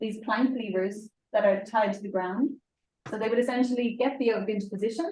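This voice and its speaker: With an Irish accent, a woman speaks at a moderate pace and a fairly high pitch. Her tone is dark and mellow, and her pitch varies in an ordinary way. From Ireland. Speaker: experimental archaeologist presenting a ship reconstruction project. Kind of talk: conference presentation with Q&A. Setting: presentation to an audience at an open-air museum event.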